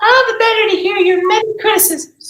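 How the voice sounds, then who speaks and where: A squeaky, put-on character voice comes at an extremely high pitch. It moves at a fairly quick pace with slight echo. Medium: stage play.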